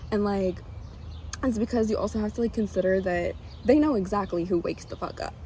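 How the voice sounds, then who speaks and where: Talking at a fairly quick pace, a woman uses a medium pitch with ordinary variation, a dark, mellow tone and vocal fry. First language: not English. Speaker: tarot reader. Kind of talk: casual spiritual reading monologue. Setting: outdoors. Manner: animated, casual.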